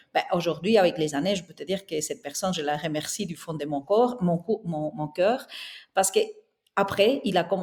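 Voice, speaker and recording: In a Spanish accent, the speaker talks at a moderate pace with ordinary pitch variation on a very clean recording with a silent background. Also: woman. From southern Spain. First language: Spanish (speaking French). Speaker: interior architect and entrepreneur. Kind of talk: podcast interview.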